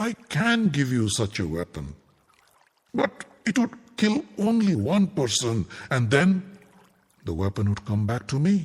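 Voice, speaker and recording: A man performs a put-on character voice with a fairly high pitch and very wide pitch swings. He goes at a fairly slow pace with long, frequent pauses. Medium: read story. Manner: measured, solemn.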